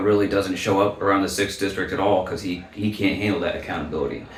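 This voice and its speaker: An American accent comes through amid audible room echo and noticeable background noise. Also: man. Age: 30s. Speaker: political candidate. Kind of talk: interview. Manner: halting, many fillers.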